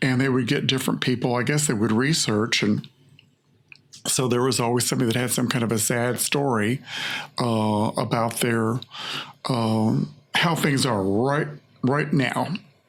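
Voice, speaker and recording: At a moderate pace and with very even loudness, the speaker uses ordinary pitch variation and leaves long, frequent pauses over noticeable background noise. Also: man, medium pitch for a man. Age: 70s. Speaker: hair stylist and artist. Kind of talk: casual interview conversation. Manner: halting, with frequent repetitions.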